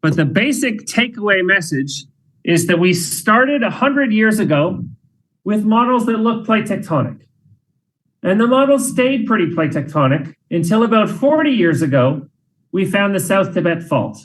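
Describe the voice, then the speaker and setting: This man's high voice has lively intonation and very even loudness. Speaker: professor. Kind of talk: lecture; Q&A answer. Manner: fast.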